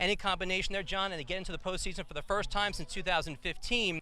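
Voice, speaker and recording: A man's raised, projected voice carries an energetic tone with ordinary pitch variation. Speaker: sports play-by-play announcer. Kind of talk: baseball play-by-play broadcast. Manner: fluent, energetic.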